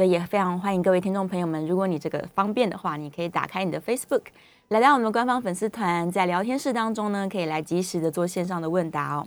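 Talking at a very fast pace, a woman with a Taiwanese accent has a medium pitch and ordinary pitch variation. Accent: Taiwanese Mandarin. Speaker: radio health show host. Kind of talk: radio interview. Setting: studio.

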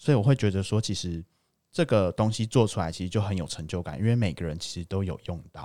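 A man's very fast speech, fairly low in pitch, with a dark, mellow tone and ordinary pitch variation on a very clean recording with a silent background. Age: 20s. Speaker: engineer. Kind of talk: casual chat.

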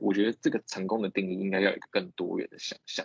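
A man talking at a very fast pace. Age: 20s. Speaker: startup co-founder. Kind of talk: lecture.

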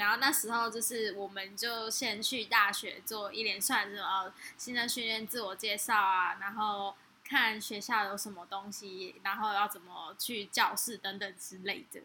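A woman speaks in an ordinary speaking voice at a medium pitch and fairly slow pace. Her intonation is fairly even, though her loudness swings widely. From Taiwan, Kaohsiung. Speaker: podcast co-host. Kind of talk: casual chat.

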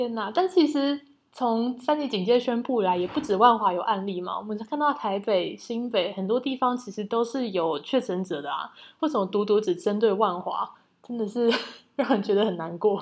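With an ordinary speaking voice, a woman talks at a moderate pace, her fairly high pitch carried in lively intonation. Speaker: podcast co-host. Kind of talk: casual chat.

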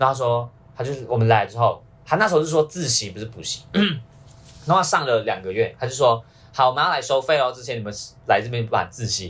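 Talking at a fairly quick pace with a Malaysian accent, a man uses lively intonation and big swings in loudness. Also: medium pitch for a man. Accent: Malaysian Chinese Mandarin. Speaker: university student. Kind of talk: casual chat.

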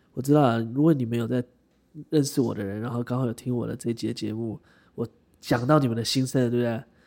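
Very fast and in fairly even intonation, a man speaks at medium pitch with a dark, mellow tone. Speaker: podcast co-host. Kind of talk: casual chat between a couple.

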